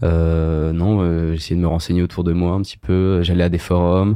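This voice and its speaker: A man's very deep, low pitch in a flat monotone. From Paris, France. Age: 20s. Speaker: medical student. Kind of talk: casual interview chat. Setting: host's home.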